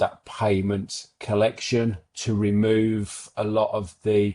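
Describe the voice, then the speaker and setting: In an English Midlands accent, a man speaks very slowly in a monotone, flat intonation, his pitch fairly low and his tone dark and mellow, against a quiet background. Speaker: accounting firm founder. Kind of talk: webinar interview. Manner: halting, repeats words.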